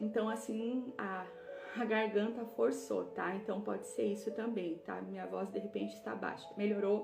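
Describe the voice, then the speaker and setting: A woman speaks at a moderate pace with audible room echo and music in the background. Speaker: women's Bible study leader. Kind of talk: live online book club teaching. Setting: livestream.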